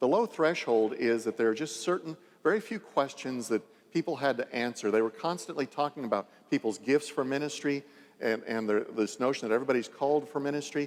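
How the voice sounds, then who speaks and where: A man's fairly high voice, fairly quick in pace, with lively intonation. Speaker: bishop giving a church presentation. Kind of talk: lecture. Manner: halting, many repetitions; fast.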